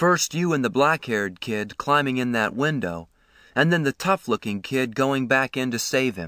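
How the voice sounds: Lively intonation in a natural reading voice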